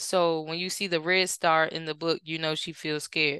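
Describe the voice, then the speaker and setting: In an American accent, a woman talks at a moderate pace with a fairly low pitch, a bright, sharp tone and monotone, flat intonation against a quiet background. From Washington DC area. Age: 30s. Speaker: author and children's advocate. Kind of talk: casual interview.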